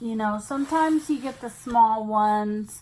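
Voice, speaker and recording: Woman's voice with very wide pitch swings. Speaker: craft hobby youtuber. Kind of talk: casual unboxing video. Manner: distracted, halting.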